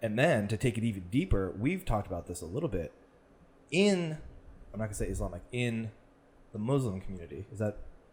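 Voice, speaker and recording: A man with a fairly low pitch talks at a very fast pace, his voice somewhat breathy and his pitch swinging very widely. He leaves long pauses, and often. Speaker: podcast co-host. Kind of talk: casual chat.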